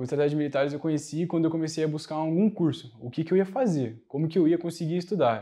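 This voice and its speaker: With a dark, mellow tone and ordinary pitch variation, a man speaks against a quiet background. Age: 20s. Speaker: military academy candidate; interviewee, candidate. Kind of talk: interview. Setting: in person studio. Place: studio. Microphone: lapel.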